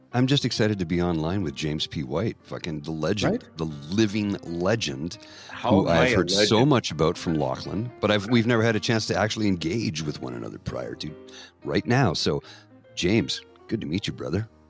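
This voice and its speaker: Music plays in the background as a man speaks at a very deep, low pitch. His tone is relaxed, his intonation lively, and his pace moderate. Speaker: podcast guest, jazz podcast host. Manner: relaxed, friendly.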